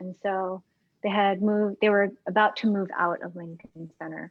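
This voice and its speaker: This soft-spoken voice moves at a moderate pace. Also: woman. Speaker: pianist. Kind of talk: casual chat.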